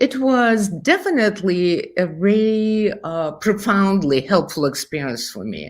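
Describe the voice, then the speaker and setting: With a Russian accent, a woman talks at a fairly slow pace and medium pitch, barely pausing, her pitch swinging very widely and her loudness rising and falling sharply. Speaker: therapist and brain researcher. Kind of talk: interview.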